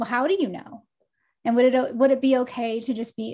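A woman's high voice with an American accent in a very clean recording with a silent background. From Texas. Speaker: life coach and oracle. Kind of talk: casual interview chat.

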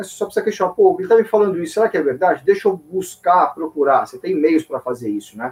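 A man with a high pitch and lively intonation, talking at a very fast pace with hardly any pauses. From São Paulo, Brazil. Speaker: financial journalist, editor-in-chief. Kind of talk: casual interview.

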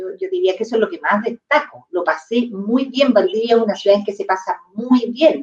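A woman's fairly high voice at a moderate pace, with very wide pitch swings, big swings in loudness and hardly any pauses. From southern Chile, near Temuco. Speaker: real estate executive. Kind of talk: interview conversation. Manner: halting, many repetitions.

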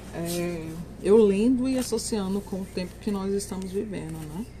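Against noticeable background noise and audible room echo, a woman talks at a fairly slow pace. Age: 40s. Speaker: book podcaster. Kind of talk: book review monologue. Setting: outdoors.

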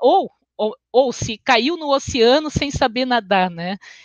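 Very slow delivery with lively intonation. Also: woman. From Brazil, Porto Alegre (Rio Grande do Sul). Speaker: education researcher and lecturer. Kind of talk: online lecture. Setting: livestream. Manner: hesitant, many filler sounds.

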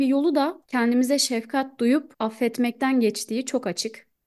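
A woman talks in a high pitch with a quiet background behind her. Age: 20s. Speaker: podcast co-host. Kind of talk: casual chat.

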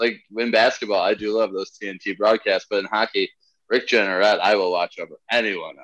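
A man talks at a moderate pace and a fairly low pitch, his intonation monotone and flat with big swings in loudness. The sound is dry and close, with no echo. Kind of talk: casual comedy podcast chat.

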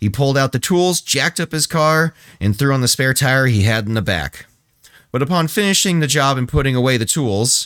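A man with an unremarkable speaking voice talks at a medium pitch and a moderate pace with lively intonation. The recording is very clean with a silent background, and the sound is dry and close with no echo. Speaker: podcast co-host. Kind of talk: casual comedic podcast chat, reading sources aloud. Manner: relaxed, laid-back, joking.

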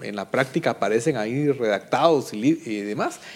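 In a plain, everyday voice, a man speaks at a fairly slow pace with ordinary pitch variation. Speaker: political analyst. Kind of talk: panel debate.

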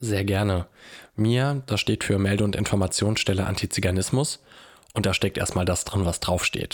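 This man has an unremarkable speaking voice, fairly low in pitch with ordinary pitch variation. He keeps a moderate pace and very even loudness. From Germany, Hanau (Hesse). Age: 20s. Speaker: social worker and anti-racism activist. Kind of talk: interview.

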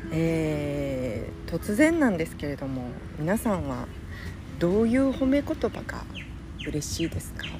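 Noticeable background noise behind a woman's fairly slow delivery. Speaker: podcaster. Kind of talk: casual solo monologue. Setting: outdoors on a beach.

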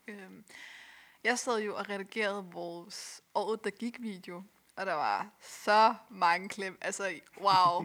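A woman talks in a bright, sharp tone. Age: 20s. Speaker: youth organization volunteer. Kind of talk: casual chat.

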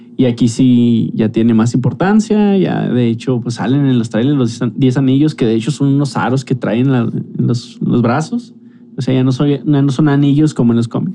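A man of medium pitch at a moderate pace, with lively intonation, very even loudness, hardly any pauses, and noticeable background noise. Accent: Mexican. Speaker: podcast host. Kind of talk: casual chat.

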